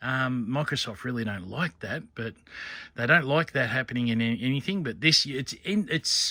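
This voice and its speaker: With an Australian accent, a man of medium pitch speaks at a moderate pace in an animated, bright, sharp tone with lively intonation, in a very clean recording with a silent background. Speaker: coin and scrap collector vlogger. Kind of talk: casual vlog chat. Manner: rambling, animated.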